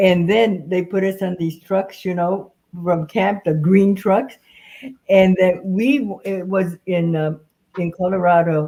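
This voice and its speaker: Very slowly and with an American accent, a woman speaks at a medium pitch with fairly even intonation. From California, US. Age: 80s+. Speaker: former camp incarceree, panelist. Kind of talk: reminiscing panel discussion.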